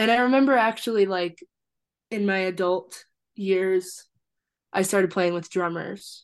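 A woman with an American accent speaks at a medium pitch with ordinary pitch variation. She leaves long, frequent pauses against a quiet background. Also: fairly slow pace. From Iowa City and Fort Collins, Colorado. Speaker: musician. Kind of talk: casual chat.

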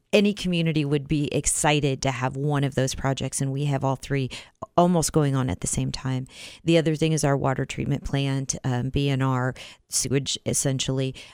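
With a Midwestern American accent, a woman speaks at a fairly quick pace in a very deep, low pitch with fairly even intonation. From US Midwest, Iowa. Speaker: city council member. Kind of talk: radio interview.

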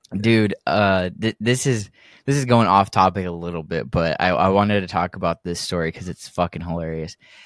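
A man with an American accent speaks at a fairly quick pace in a very deep, low pitch with ordinary pitch variation. The recording is very clean with a silent background, and the sound is dry and close with no echo. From Texas. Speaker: podcast co-host. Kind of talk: casual chat.

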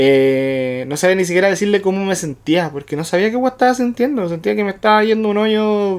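A man speaks at a moderate pace with a Chilean accent. His pitch swings very widely. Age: 30s. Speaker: podcast co-host. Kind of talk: casual chat.

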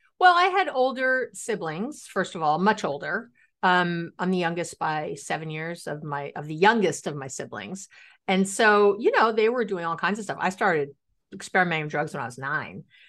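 With an American accent, a woman speaks in a normal speaking voice at a medium pitch and a moderate pace, with lively intonation and big swings in loudness against a quiet background. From New York City. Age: 50s. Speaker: relationship expert. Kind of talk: interview.

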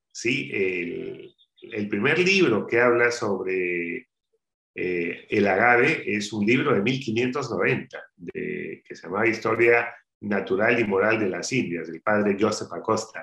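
Speaking very slowly, a man uses lively intonation and a bright, sharp tone, with big swings in loudness. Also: medium pitch for a man. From Peru, Áncash highlands (Caraz, Callejón de Huaylas). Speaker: spirits entrepreneur. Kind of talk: interview. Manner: halting, many fillers.

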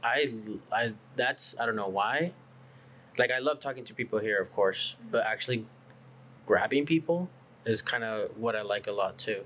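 A bright, sharp tone at a moderate pace, with ordinary pitch variation and long, frequent pauses. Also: man, medium pitch for a man. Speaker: coffee shop co-owner. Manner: outgoing, unfiltered.

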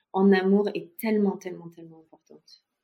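An unremarkable speaking voice from a woman at medium pitch, at a fairly slow pace, in a very clean recording with a silent background. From France. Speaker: expat mother. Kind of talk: testimony.

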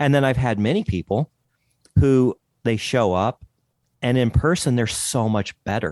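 Over a quiet background, a man with a medium-pitched voice talks at a fairly slow pace, the sound dry and close with no echo. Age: 50s. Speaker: podcast host, guest. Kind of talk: interview podcast.

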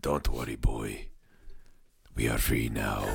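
A man puts on a raspy character voice pitched very deep and low. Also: fairly slow pace.

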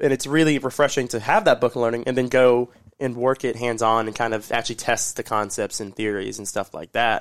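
A man with a normal speaking voice talks at a fairly quick pace and medium pitch, his intonation fairly even, on a very clean recording with a silent background. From Orlando, Florida. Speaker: restaurant leader, grand opening specialist. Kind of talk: casual interview chat.

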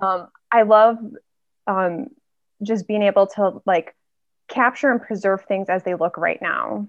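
A woman talks at a fairly slow pace with long, frequent pauses. Her pitch is medium and her intonation fairly even. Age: 30s. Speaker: film photographer. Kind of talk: casual interview.

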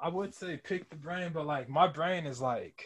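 A man speaks in a plain, everyday voice at a fairly slow pace. His pitch is fairly high, with fairly even intonation. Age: 20s. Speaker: podcast host. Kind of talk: casual chat.

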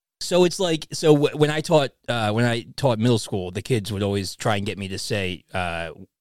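The speaker uses lively intonation at a moderate pace on a very clean recording with a silent background. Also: man. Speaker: comic book podcast host. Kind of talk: casual chat. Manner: animated.

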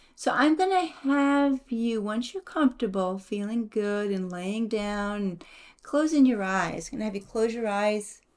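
A woman with a plain, everyday voice, fairly high pitch and lively intonation. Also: fairly slow pace. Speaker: podcast co-host, mother. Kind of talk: guided meditation. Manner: slow, soothing, repetitive; calm, gentle.

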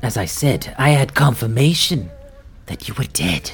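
Clear music plays in the background. Over it comes a put-on character voice at a low-to-middle pitch. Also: moderate pace. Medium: actual play. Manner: suspicious, imperious.

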